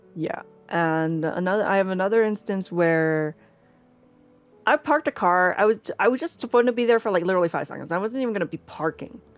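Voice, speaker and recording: Over music in the background, a woman speaks at a very fast pace. Her medium-pitched voice has lively intonation. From small town in an English-speaking country, Chinese family. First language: Chinese. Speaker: streamer and cosplayer. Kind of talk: interview chat.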